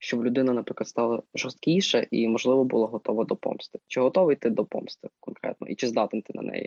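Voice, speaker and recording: With an ordinary speaking voice, a man talks at a medium pitch with ordinary pitch variation and hardly any pauses. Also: fairly quick pace. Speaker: student podcast co-host. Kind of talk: casual interview. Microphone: sound problems.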